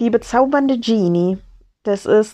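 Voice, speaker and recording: A woman with a dark, mellow tone speaks at a fairly slow pace with lively intonation. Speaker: podcaster. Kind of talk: casual monologue. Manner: halting.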